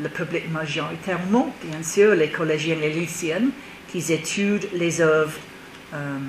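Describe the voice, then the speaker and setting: A woman's very deep, low voice with an English accent, ordinary pitch variation and a fairly slow pace, long frequent pauses, and noticeable background noise. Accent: English-speaking accent in French. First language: English (speaking French). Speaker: theatre director. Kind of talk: TV interview.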